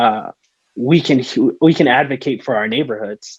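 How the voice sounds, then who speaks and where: At a moderate pace, a man talks with a Spanish accent in a dry, close sound with no echo. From Tucson, Arizona. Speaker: political candidate. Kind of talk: Q&A session at political meeting. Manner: halting, many fillers.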